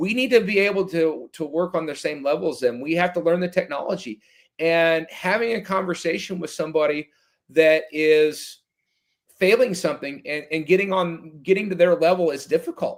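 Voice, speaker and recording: A loud man talks at a high pitch and a moderate pace. The recording is very clean, with a silent background. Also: ordinary pitch variation. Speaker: firefighter officer and extrication guest. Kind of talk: casual podcast interview.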